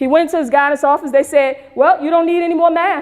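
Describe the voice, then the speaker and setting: A woman is speaking. Her pitch moves up and down in an ordinary way. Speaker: math teacher. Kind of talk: storytelling lecture to an audience.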